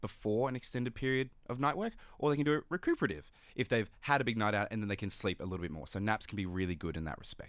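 Speaking with an Australian accent, a man talks at a very fast pace. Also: very clean recording, silent background. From Sydney, Australia. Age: 20s. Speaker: neuroscience PhD candidate. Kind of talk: radio interview.

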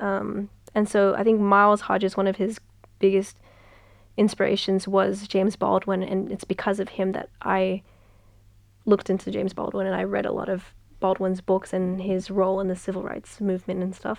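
In an Australian accent, a woman of medium pitch speaks at a moderate pace with monotone, flat intonation over a quiet background. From Western Sydney, Australia. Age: young. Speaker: author. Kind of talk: casual interview. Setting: radio studio. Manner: hesitant, many fillers.

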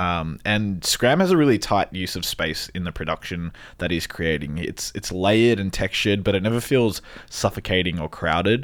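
In a very clean recording with a silent background, a man with an Australian accent talks at a moderate pace, fairly low in pitch with ordinary variation. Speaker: radio podcast host. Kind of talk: casual chat. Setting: studio.

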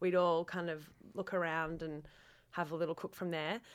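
In an Australian accent, a woman speaks at a moderate pace with a bright, sharp tone, in a very clean recording over a silent background. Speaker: cook. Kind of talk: interview.

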